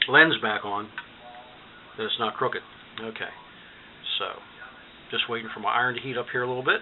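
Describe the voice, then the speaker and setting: A man at a medium pitch, very fast yet with long, frequent pauses, fairly even intonation, and noticeable background noise. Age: 60s. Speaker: DIY electronics hobbyist. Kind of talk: tutorial. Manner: casual, hesitant with fillers.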